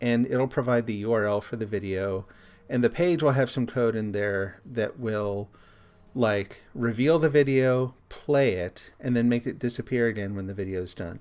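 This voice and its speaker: A man talks at a medium pitch. His pace is moderate and his pitch varies in an ordinary way. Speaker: streamer and software developer. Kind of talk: live stream tutorial. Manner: casual.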